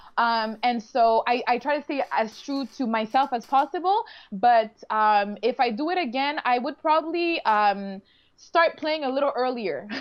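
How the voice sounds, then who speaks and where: With a Quebec accent, a woman speaks at a fairly slow pace in a high pitch with lively intonation. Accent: Canadian French. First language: French. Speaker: reality show contestant. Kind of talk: casual interview. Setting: live online video stream.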